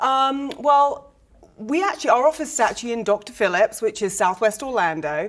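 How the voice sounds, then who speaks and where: At a moderate pace, a high-pitched woman with an English accent makes very wide pitch swings. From England, London. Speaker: real estate agent. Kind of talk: TV interview. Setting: studio.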